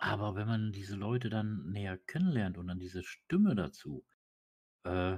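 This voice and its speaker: This somewhat breathy voice shows ordinary pitch variation. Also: man. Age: 40s. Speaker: GTA roleplay gamer. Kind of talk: casual chat.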